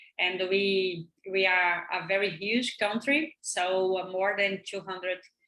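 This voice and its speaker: A woman with a Brazilian Portuguese accent speaks very slowly, her medium-pitched voice bright and sharp in tone. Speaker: professor. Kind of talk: lecture. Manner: halting.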